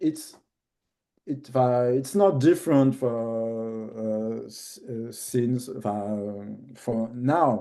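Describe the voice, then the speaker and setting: Over a quiet background, a man speaks very slowly in a French accent. His tone is dark and mellow, at a medium pitch with ordinary pitch variation. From France, Paris. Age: 50s. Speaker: documentary filmmaker. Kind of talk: interview. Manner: halting, many fillers.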